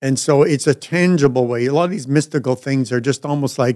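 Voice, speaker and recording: A man speaks with a Canadian accent at a medium pitch. The sound is dry and close, with no echo. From Canada, Ottawa. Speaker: pastor. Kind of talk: casual chat. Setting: studio. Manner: halting.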